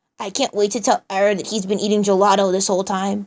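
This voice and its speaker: A woman speaks very fast in a put-on character voice at a medium pitch, her intonation monotone and flat. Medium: read story. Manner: casual slangy, upbeat.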